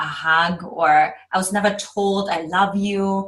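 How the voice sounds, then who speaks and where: In a German accent, a woman speaks at a medium pitch with a bright, sharp tone. Her intonation is fairly even. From Eastern Germany. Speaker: love coach. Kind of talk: podcast interview.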